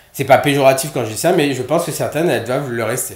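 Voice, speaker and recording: A somewhat breathy man at medium pitch in a Réunion accent, very fast, with lively intonation and audible room echo. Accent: Réunionese. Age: 30s. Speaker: nurse. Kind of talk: casual chat. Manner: halting.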